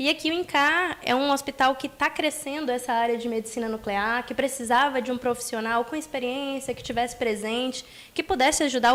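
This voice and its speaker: With a strong Rio de Janeiro accent, a woman speaks at a high pitch with fairly even intonation. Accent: strong Rio de Janeiro (carioca). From Bahia, Brazil (Salvador). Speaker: nuclear medicine physician. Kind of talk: interview. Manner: articulate.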